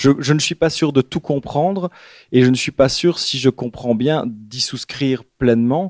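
Recorded very cleanly against a silent background, with a dry, close sound and no echo, a man speaks at a fairly slow pace in a medium pitch with ordinary pitch variation. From Belgium, Liège area. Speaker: writer. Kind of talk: bookshop author talk. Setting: bookshop event with audience. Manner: halting, many repetitions.

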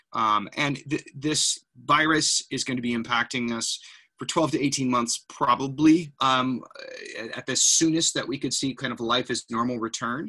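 A man talks at a moderate pace with fairly even intonation. His tone is bright and sharp over a quiet background. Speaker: presenter. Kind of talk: presentation. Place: home room. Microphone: webcam.

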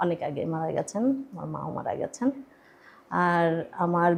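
A woman's plain, everyday voice, fairly low in pitch. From Bangladesh, Gaibandha. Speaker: theatre actor. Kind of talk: radio interview, casual chat. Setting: radio studio.

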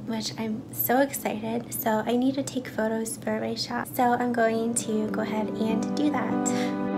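A woman at a fairly slow pace, clear music in the background. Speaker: artist vlogger. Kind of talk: casual vlog chat. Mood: cheerful, laughing. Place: home room. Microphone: phone near.

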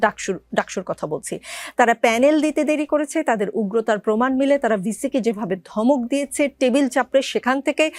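Her high-pitched voice moves with lively intonation, and this woman is recorded very cleanly against a silent background with a dry, close sound and no echo. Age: 40s. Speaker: TV talk show host. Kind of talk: TV talk show interview.

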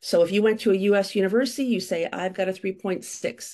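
Medium-pitched with a dark, mellow tone, a woman speaks at a moderate pace against a quiet background. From United States. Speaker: university admissions consultant. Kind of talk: webinar presentation. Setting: video call. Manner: animated. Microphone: webcam.

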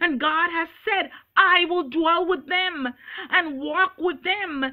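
The background stays quiet. A woman talks at a very slow pace. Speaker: preacher. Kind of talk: sermon. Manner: earnest, preaching with urgent exhortation; quoting scripture verse by verse, emphatic. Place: home room. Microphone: webcam.

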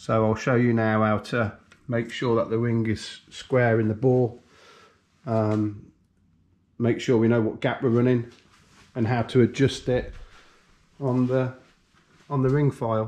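A man talks at a fairly slow pace with long, frequent pauses, keeping his loudness very even and his intonation monotone and flat. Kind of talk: tutorial. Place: workshop. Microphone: camera far.

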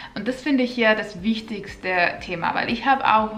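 A woman with a Finnish accent speaks at a moderate pace with ordinary pitch variation. There is light background noise. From Finland. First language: Finnish (speaking German). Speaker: vlogger. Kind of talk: casual vlog tips; casual vlog chat. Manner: slightly halting. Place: home room.

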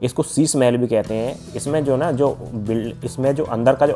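A man speaks at a moderate pace with fairly even intonation. Faint music plays in the background. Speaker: travel vlogger acting as guide. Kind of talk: tour guide commentary. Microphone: phone near.

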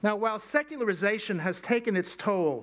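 A man talks at a moderate pace in a high pitch. His pitch varies in an ordinary way. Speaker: invited lecturer. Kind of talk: lecture. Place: hall. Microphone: podium.

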